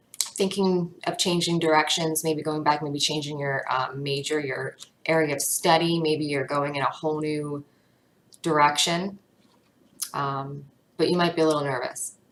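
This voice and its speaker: A woman speaks in a very deep, low voice at a moderate pace. Her delivery is shaky, with fairly even intonation. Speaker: tarot reader. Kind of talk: tarot reading monologue. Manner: casual, filler-heavy; shaky voice.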